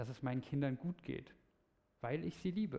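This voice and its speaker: A man talks with lively intonation. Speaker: preacher. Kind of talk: sermon; sermon to a congregation, lively storytelling with a teaching tone. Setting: church. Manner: animated, conversational, explaining clearly.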